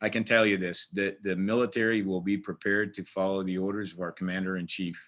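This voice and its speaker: A man with an American accent speaks at a very fast pace with hardly any pauses, in a fairly low pitch. His intonation is monotone and flat, and the background is quiet. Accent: Portuguese-tinged American English. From Portugal. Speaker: army command sergeant major. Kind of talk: webinar interview. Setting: video webinar.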